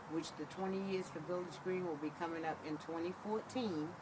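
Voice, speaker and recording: Speaking at a fairly quick pace, a woman with a fairly low voice is heard with audible room echo and noticeable background noise. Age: 60s. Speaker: resident interviewee. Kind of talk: interview testimony.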